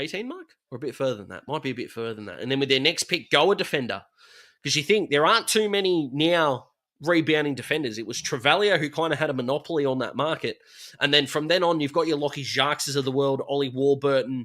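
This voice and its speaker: Very fast and bright, with a sharp tone, a man with an Australian accent and a fairly high pitch shows ordinary pitch variation and big swings in loudness on a very clean recording with a silent background. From Australia, south-east Melbourne. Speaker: football YouTuber. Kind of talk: livestream commentary. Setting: bedroom livestream. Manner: animated.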